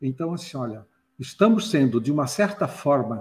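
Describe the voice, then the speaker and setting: A somewhat breathy man speaks at a fairly slow pace, his pitch swinging very widely. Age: 60s. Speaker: retired IT professional and ufology enthusiast. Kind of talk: casual chat.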